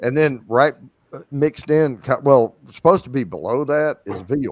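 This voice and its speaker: A man with a Southern US accent speaks at a moderate pace with ordinary pitch variation, in a dry, close sound with no echo. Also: fairly high pitch for a man. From US South, southeast Arkansas. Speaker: whiskey enthusiast on livestream. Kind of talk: casual chat. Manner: halting.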